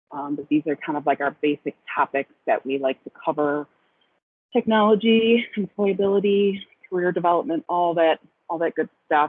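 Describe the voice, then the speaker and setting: A woman speaks at a moderate pace with a fairly low pitch. She has a plain, everyday voice. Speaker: program director. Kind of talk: webinar presentation. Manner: many filler ums.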